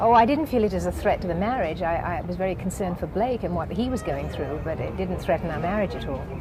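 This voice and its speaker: Talking over music in the background, a woman at a medium pitch races along at a very fast pace with lively intonation and hardly any pauses. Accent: British. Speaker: actress and singer. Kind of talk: interview answer.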